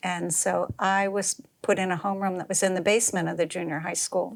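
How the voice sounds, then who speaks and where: With an American accent, a woman speaks at a moderate pace with a fairly low pitch and vocal fry. Her intonation stays fairly even. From Boston area, Massachusetts (Wellesley). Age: 70s. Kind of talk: oral history interview. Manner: halting, many fillers and restarts.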